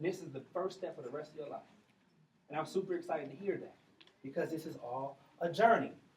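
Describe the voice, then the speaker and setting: A man talks at a fairly quick pace in a fairly high pitch, with ordinary pitch variation. He leaves long, frequent pauses, and his loudness swings widely. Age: 40s. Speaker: commencement speaker, former school principal. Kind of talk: graduation speech. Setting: graduation ceremony with audience. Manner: animated.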